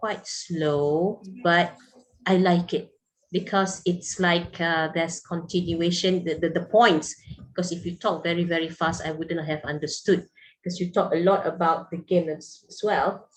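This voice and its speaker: A woman speaks at a fairly slow pace in a fairly low pitch. Her intonation is monotone and flat. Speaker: university lecturer. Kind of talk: online class feedback. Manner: hesitant, many repetitions.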